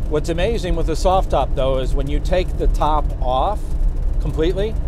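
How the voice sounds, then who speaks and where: Against noticeable background noise, a man speaks at a moderate pace in a dry sound with no echo. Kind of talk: casual product walkthrough while driving. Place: car.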